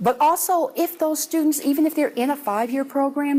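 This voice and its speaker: A high-pitched woman at a moderate pace with ordinary pitch variation, amid noticeable background noise. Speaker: university administrator. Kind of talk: presentation.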